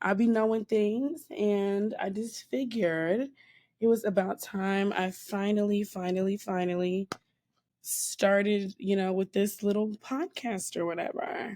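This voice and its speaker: In a very clean recording with a silent background, a woman speaks at a fairly slow pace in a medium pitch, her tone dark and mellow with ordinary pitch variation. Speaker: podcast host. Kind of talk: casual podcast talk.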